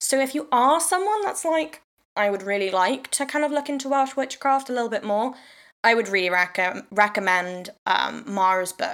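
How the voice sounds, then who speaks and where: A woman speaks in a South Wales accent. Her pitch is fairly high and her intonation lively. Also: moderate pace. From South Wales, Swansea. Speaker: podcast host and witchcraft teacher. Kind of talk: casual solo talk. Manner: rambling, hesitant with fillers.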